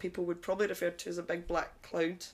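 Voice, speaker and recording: A woman speaks with vocal fry at a fairly low pitch. Her intonation is monotone and flat. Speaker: newly qualified personal trainer. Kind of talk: casual chat.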